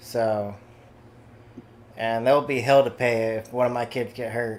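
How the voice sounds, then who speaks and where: A man speaks at medium pitch with a slight Southern US accent. His pace is fairly slow and his intonation monotone and flat. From Kansas. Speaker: gamer on voice chat. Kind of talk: casual chat.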